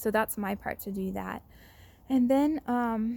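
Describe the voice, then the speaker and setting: The recording is very clean, with a silent background. A woman speaks in a fairly high, somewhat breathy voice. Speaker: vlogger sharing chronic illness treatment update. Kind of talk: personal video update. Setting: outdoors. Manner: fast; hesitant with many fillers.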